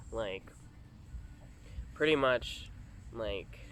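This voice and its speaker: The pace is fairly slow. Audible room echo can be heard. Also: man. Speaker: vlogger. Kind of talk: casual vlog monologue. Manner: halting, many fillers.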